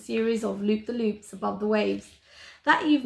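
Reading voice, unforced

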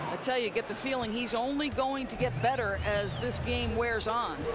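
There is noticeable background noise in this clip. The talking proceeds at a moderate pace. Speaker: color commentator. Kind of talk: live commentary. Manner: measured, analytical.

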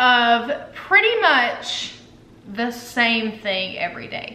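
A woman's raised, projected voice with audible room echo. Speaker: wellness vlogger. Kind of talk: casual vlog chat. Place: home room. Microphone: camera far.

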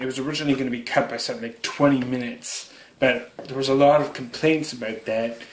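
Speaking very fast in a monotone with flat intonation, a man with a medium pitch and a Canadian accent is heard with audible room echo. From Canada. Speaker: YouTuber doing product unboxing. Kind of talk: unboxing video narration. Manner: casual with frequent fillers and hesitations. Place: home room. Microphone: phone near.

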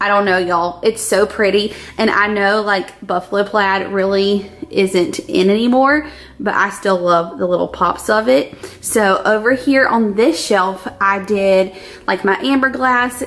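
Here a woman speaks at a fairly slow pace. Her pitch varies in an ordinary way. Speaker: lifestyle vlogger. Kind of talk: casual vlog chat. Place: kitchen.

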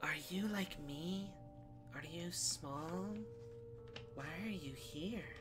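A soft-spoken, whispering put-on character voice at a very slow pace, over loud music in the background. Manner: soft, whispering.

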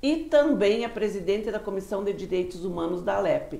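Amid audible room echo, a woman speaks at a moderate pace with a fairly high pitch. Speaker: interviewer, portal host. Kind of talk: casual interview. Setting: studio. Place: studio. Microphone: lapel.

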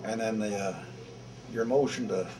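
A man's fairly low voice at a moderate pace, over noticeable background noise. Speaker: war veteran. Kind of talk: interview answer. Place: hall.

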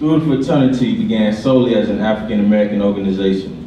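Amid light background noise and audible room echo, a man with a fairly low pitch speaks at a fairly quick pace with ordinary pitch variation. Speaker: fraternity vice president, college student; presenter. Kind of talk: reading prepared presentation. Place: hall.

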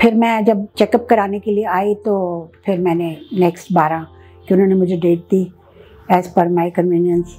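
Faint music plays in the background as a woman speaks at a moderate pace with fairly even intonation. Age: 60s. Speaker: cataract surgery patient. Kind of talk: patient testimonial. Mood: calm, pleased. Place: office. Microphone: lapel.

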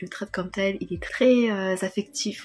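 Clear background music behind a woman speaking at a moderate tempo. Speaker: book vlogger. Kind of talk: casual talk to camera. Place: home room. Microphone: earbuds.

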